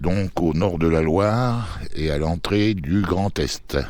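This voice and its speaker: A man with a very deep, low voice speaks very slowly and with lively intonation, and the room echo is audible. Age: 70s. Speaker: amateur gardener, channel owner. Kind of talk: video garden tour presentation. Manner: hesitant, many fillers.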